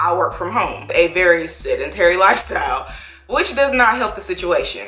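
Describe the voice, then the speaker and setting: Music plays in the background as a woman speaks at a moderate pace with audible room echo. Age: 30s. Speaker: YouTuber vlogger. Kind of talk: casual vlog talking to camera. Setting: in her bedroom at home. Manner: animated, conversational.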